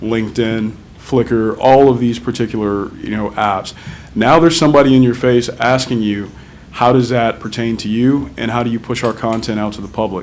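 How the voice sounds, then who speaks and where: With audible room echo and noticeable background noise around him, a man talks at a moderate pace, his intonation fairly even. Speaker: technology vendor presenter. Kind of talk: conference presentation. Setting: conference stage with audience. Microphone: too quiet at first, moved closer.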